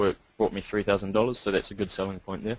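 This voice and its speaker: A man with a New Zealand accent and a fairly low pitch. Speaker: internet marketer. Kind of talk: sales pitch. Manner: hesitant, many ums.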